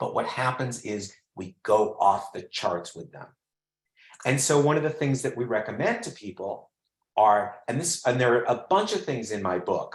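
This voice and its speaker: A man speaks at a moderate pace and medium pitch, his voice somewhat breathy. His intonation is lively, with big swings in loudness. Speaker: well-being expert and executive coach. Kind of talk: interactive webinar presentation. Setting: online webinar.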